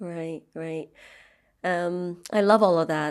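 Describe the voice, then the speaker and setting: With a plain, everyday voice, a woman speaks at fairly low pitch and fairly even intonation in a very clean recording with a silent background. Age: 40s. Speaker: podcast host. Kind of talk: interview. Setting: podcast.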